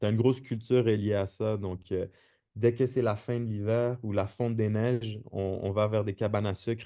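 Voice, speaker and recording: Over a quiet background, a man speaks at a moderate pace with a slight Québécois accent. His medium-pitched voice has a dark, mellow tone and flat, monotone intonation. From Quebec, Montreal. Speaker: podcast guest. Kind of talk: casual chat. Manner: halting, many repetitions.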